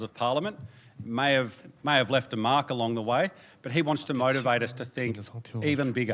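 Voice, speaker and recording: Speaking with an Australian accent, a man talks at a fairly quick pace, his medium pitch showing ordinary variation. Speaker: presenter at a democracy organisation. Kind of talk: conference presentation. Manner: animated.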